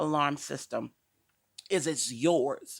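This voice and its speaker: A woman with an American accent speaks with vocal fry on a very clean recording with a silent background. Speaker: talk show host and domestic violence advocate. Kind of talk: informational talk show monologue. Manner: casual and conversational; occasional stumbles while reading along.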